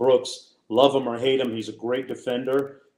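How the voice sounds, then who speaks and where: In a dark, mellow tone, a man speaks at a moderate pace with monotone, flat intonation. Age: 60s. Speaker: sports broadcaster. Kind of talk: casual chat.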